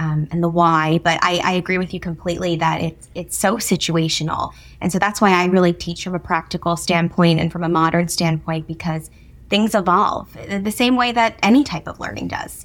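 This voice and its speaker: The woman has a plain, everyday voice at a fairly low pitch. She keeps a moderate pace with ordinary pitch variation. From New Jersey. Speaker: etiquette instructor and author. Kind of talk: interview.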